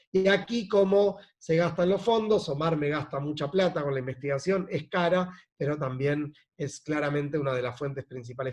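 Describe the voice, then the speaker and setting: A man talks at a fairly quick pace in a fairly high, somewhat breathy voice, with ordinary pitch variation. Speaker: NGO executive director. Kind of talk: presentation. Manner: fast.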